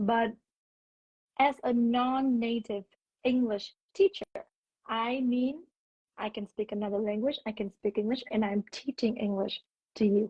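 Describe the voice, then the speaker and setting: A woman's fairly high, dark and mellow voice with a slight Vietnamese accent, fairly slow, with ordinary pitch variation, long, frequent pauses, and a dry, close sound with no echo. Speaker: English teacher. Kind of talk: casual chat. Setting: Instagram live video call.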